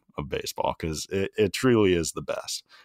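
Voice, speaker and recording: A man with an American accent uses a normal speaking voice, fairly low in pitch, with lively intonation. The recording is very clean and the background silent. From Maryland, between Baltimore and DC. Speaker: former college baseball pitcher, podcast host. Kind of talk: casual chat.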